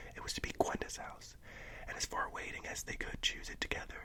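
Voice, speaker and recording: Whispering in a relaxed tone, a man is heard over noticeable background noise. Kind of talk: audiobook-style reading, ASMR. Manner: soft-spoken, relaxed, whispery.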